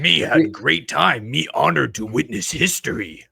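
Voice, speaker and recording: A raspy, put-on character voice at a moderate pace. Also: man, fairly low pitch for a man. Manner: broken grammar, enthusiastic.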